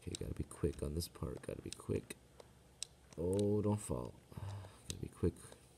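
A soft-spoken man's very deep, low voice with a dark, mellow tone, very wide pitch swings, and a moderate pace, over light background noise. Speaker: gamer. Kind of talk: casual gameplay commentary. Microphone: phone near.

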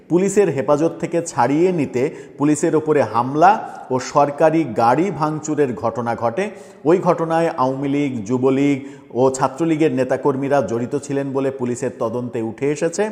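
Fairly high pitch from a man against noticeable background noise. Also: ordinary pitch variation. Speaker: news commentator. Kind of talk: news commentary monologue.

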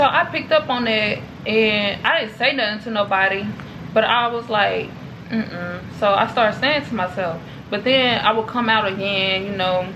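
Over noticeable background noise, a woman speaks at a moderate pace with a fairly high pitch and ordinary pitch variation. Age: 20s. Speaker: vlogger. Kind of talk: casual vlog Q&A. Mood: calm, reflective, personal. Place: home room. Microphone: camera far.

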